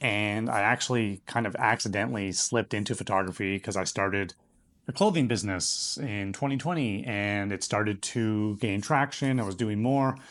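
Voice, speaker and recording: The pace is moderate, the pitch varies in an ordinary way, and the background is quiet. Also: man, fairly low pitch for a man. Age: 30s. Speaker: YouTuber. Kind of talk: casual vlog monologue. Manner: casual, hesitant with fillers.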